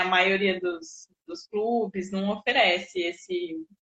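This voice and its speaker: With ordinary pitch variation, the clip carries an unremarkable speaking voice. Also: woman. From Jundiaí, São Paulo state, Brazil. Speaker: sports psychologist. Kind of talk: interview conversation.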